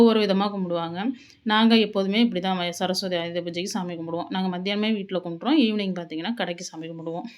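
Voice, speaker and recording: The voice is an ordinary speaking voice with ordinary pitch variation. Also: woman. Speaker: cooking vlogger. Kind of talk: home vlog narration. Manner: casual.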